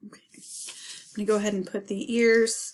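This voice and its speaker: A woman talking at a fairly slow pace. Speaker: art teacher. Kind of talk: tutorial.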